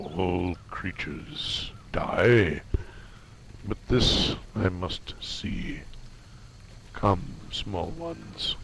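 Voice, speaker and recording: Over clear background noise, a man in a rumbling put-on character voice talks at a very slow pace with long, frequent pauses. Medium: game stream. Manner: slow, halting, archaic.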